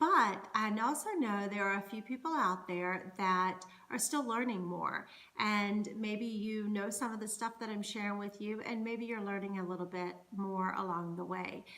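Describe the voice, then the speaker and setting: In an American accent, the speaker talks at a moderate pace with ordinary pitch variation, and audible room echo surrounds the voice. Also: woman, medium pitch for a woman. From US South, North Carolina. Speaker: Scottish dance performer and culture educator. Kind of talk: educational monologue. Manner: conversational.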